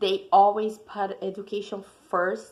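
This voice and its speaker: A woman's medium-pitched voice in a monotone, flat intonation. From Brazil. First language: Portuguese. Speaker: student. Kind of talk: class presentation.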